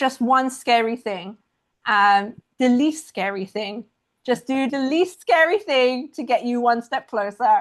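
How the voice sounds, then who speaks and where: A woman with a high pitch speaks fairly slowly, her intonation lively. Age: young. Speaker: watercolor artist and online art educator. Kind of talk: casual Q&A talk at an online members meeting. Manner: halting, with many fillers.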